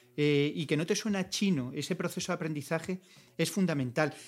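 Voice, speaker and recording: On a very clean recording with a silent background, a man with a fairly high voice talks at a moderate pace, his pitch varying in an ordinary way. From Valencia, Spain. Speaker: career coach and trainer. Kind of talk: interview. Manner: halting, many fillers and repetitions.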